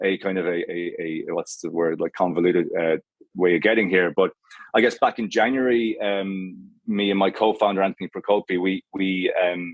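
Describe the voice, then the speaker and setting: With an Irish accent, a man speaks at a fairly low pitch with fairly even intonation. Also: moderate pace. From Ireland, Galway. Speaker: menswear brand co-founder. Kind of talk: podcast interview. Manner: halting.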